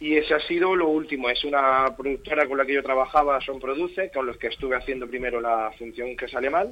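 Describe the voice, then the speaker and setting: This man has a normal speaking voice, talking at a fairly quick pace with a medium pitch and ordinary pitch variation. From Spain, Torre Pacheco (Murcia region). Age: young. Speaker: actor. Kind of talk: radio interview.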